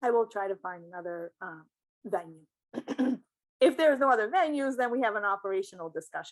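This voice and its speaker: A woman speaks at a medium pitch and a very fast pace, with lively intonation, big swings in loudness, and long, frequent pauses. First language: not English. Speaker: hospital IT analyst. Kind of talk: interview. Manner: halting.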